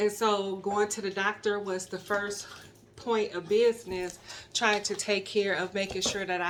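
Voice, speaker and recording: Her medium pitch and monotone, flat intonation hold at a moderate pace as this woman speaks. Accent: American. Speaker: YouTuber. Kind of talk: casual vlog.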